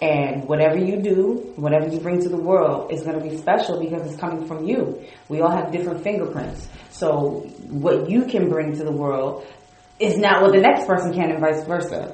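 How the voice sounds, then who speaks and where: Noticeable background noise runs under the speech. The pace is fairly quick, with ordinary pitch variation. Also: woman. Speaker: entrepreneur, dancer and actress. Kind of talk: casual chat, interview.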